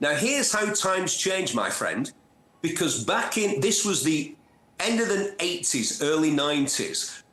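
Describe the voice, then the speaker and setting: A man speaks at a moderate pace with a Manchester accent, his pitch high and his intonation lively. Noticeable background noise runs under him. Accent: gritty North Manchester. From northern England, Bury, Lancashire and North Manchester. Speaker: motoring TV presenter and journalist. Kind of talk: interview. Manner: animated storytelling.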